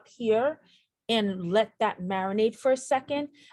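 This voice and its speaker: A woman has an unremarkable speaking voice, fairly high in pitch with ordinary variation. She speaks at a fairly slow pace. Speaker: nurse educator. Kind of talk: tutorial.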